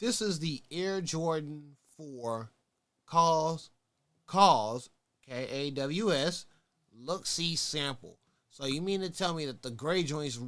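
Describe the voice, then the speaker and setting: Using a Texas accent, a man talks at a very slow pace with a fairly high pitch and ordinary pitch variation. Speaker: sneaker talk show host. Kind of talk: casual livestream talk show. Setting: livestream on Twitch. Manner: animated.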